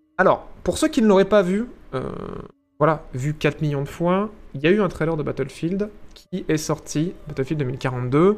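A man's fairly high voice at a fairly slow pace, with long, frequent pauses. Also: ordinary pitch variation. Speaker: streamer. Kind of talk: live stream commentary. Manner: animated, varying pitch.

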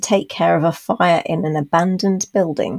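With a British accent, a woman speaks using ordinary pitch variation. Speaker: podcast host. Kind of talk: casual chat.

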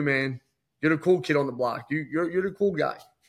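A man's fairly high, fairly quick voice with an American accent, a plain, everyday voice, fairly even intonation, very clean recording with a silent background. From Philadelphia area, US. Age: 40s. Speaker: entrepreneur. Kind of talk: casual interview.

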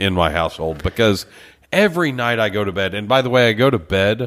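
A man with a Texan accent speaks at a fairly low pitch. The recording is very clean, with a silent background. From Texas, Beaumont. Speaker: podcast co-host. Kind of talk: casual chat. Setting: studio.

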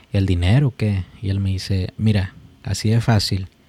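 On a very clean recording with a silent background and a dry, close sound with no echo, a man speaks at a fairly slow pace with a fairly low pitch, a dark, mellow tone, a somewhat breathy quality and ordinary pitch variation. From Mexico. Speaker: podcast host. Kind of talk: casual chat.

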